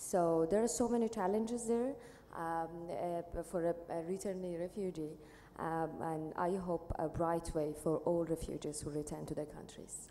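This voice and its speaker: A woman speaks with an Iranian accent and a fairly low pitch. Her pitch varies in an ordinary way, with noticeable background noise behind her. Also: moderate pace. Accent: Iranian Persian-accented Dari. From Iran, Tehran. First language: Dari/Persian. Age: young. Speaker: panelist, returnee refugee. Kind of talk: panel discussion. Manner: halting.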